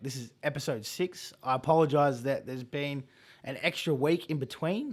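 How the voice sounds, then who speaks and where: In a very clean recording with a silent background, a man talks at a moderate pace in a fairly high pitch with ordinary pitch variation. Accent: Australian. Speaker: podcast host. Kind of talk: casual interview talk.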